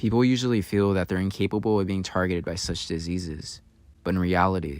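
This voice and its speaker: This man has a very deep, low pitch and fairly even intonation. He speaks at a fairly quick pace. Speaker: new content creator. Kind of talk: video essay narration.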